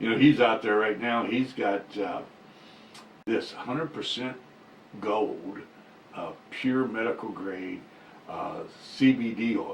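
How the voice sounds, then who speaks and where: Very slow and full of long, frequent pauses, a man speaks at a medium pitch with ordinary pitch variation over noticeable background noise. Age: 60s. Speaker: cannabis business show host and minister. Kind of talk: casual chat.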